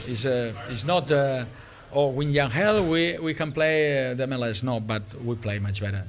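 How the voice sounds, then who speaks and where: With a strong non-native accent, a man of medium pitch speaks at a fairly slow pace with ordinary pitch variation. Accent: foreign-accented English, strong. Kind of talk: post-match press conference. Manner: halting, hesitant.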